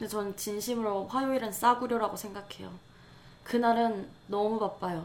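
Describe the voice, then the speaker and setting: Audible room echo surrounds speech delivered at a moderate pace with fairly even intonation. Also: woman, fairly high pitch for a woman. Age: 20s. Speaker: podcast co-host, creative writing student. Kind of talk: casual chat.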